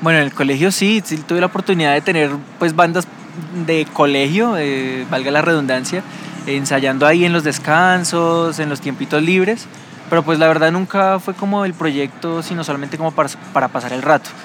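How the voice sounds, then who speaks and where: Noticeable background noise behind a man's fairly high voice, delivered at a moderate pace with ordinary pitch variation. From Bogotá, Colombia. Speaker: rock musician. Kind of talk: casual interview.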